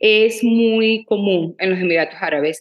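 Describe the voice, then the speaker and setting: With lively intonation, a woman speaks at a very slow pace. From Venezuela, Maracaibo. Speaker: entrepreneur and influencer. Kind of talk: interview, casual chat.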